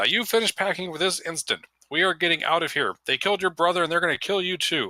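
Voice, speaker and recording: Dry and close with no echo, a man does a put-on character voice at a high pitch and a very fast pace. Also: very even loudness. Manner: urgent, scolding.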